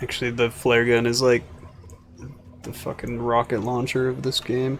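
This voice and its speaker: A man with a medium-pitched voice talks at a moderate pace in a flat monotone, with noticeable background noise behind him. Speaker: video game streamer. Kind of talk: live game commentary. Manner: mumbles when quiet.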